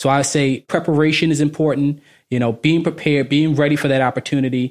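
A man with an American accent talks very fast at a fairly high pitch in a monotone, flat intonation, on a very clean recording with a silent background. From Baltimore, Maryland. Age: 30s. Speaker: finance professional. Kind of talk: casual interview.

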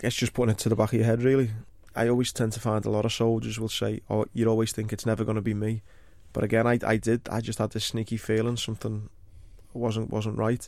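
A man with a Liverpool accent talks very fast at medium pitch in a monotone, flat intonation. The recording is very clean, with a silent background. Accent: Liverpool (Scouse). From Liverpool, England. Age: 30s. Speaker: war veteran. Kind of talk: interview.

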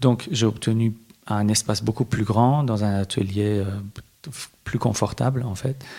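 A man with a Persian accent speaks fairly slowly at a fairly low pitch. His tone is dark and mellow, and somewhat breathy. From Iran, Tehran, moved to France at 12. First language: Persian (speaking French). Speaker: visual artist. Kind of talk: interview. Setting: hotel room. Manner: halting, many hesitations.

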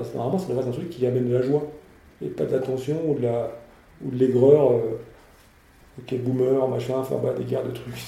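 Long, frequent pauses break up a man's medium-pitched speech, which has fairly even intonation and audible room echo. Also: fairly quick pace. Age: 50s. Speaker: entrepreneur. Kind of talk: interview. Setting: company offices. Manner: halting, frequent repetitions.

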